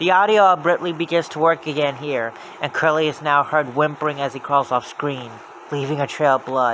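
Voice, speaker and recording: Noticeable background noise sits behind a man's fairly high voice. He speaks at a fairly quick pace with ordinary pitch variation. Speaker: creepypasta narrator. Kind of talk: horror story reading.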